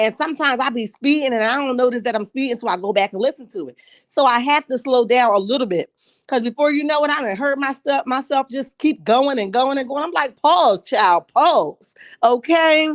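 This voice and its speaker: With a dry, close sound, no echo and a quiet background, a woman speaks fairly quickly at a high pitch, animated in tone and lively in intonation. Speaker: YouTube commentary livestream host. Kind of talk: casual live chat. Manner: fast.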